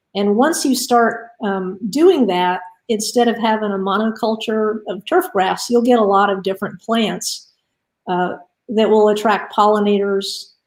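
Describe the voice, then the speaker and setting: Fairly high in pitch, a woman with an American accent talks at a fairly slow pace. She has an ordinary speaking voice and ordinary pitch variation. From Florida, Miami. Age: 60s. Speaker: invited speaker on native plants and water quality. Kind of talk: presentation. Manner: casual, with many filler words.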